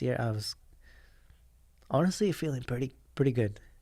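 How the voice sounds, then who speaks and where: A man with a medium-pitched, somewhat breathy voice and a dark, mellow tone speaks at a moderate pace in a very clean recording with a silent background. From Japan. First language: Japanese. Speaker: professional motocross rider. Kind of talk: podcast interview answer.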